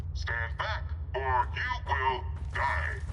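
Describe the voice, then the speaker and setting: Someone uses a put-on character voice over loud background noise. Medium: video game. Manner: stiff, formal, no contractions.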